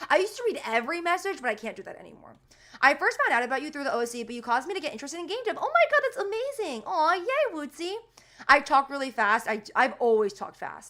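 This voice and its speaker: A woman's raised, projected voice at a very fast pace, bright and sharp in tone, with very wide pitch swings and big swings in loudness. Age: 20s. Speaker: streamer and indie game developer. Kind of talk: casual livestream chat. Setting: livestream. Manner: casual, filler-heavy.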